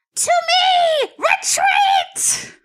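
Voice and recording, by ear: A put-on character voice shouts at an extremely high pitch.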